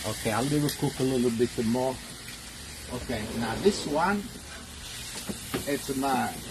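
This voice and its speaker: Over noticeable background noise, a man of medium pitch talks at a fairly slow pace with ordinary pitch variation and long, frequent pauses. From Italy. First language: Italian. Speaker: cooking show host. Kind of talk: live cooking stream, casual chat. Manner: halting.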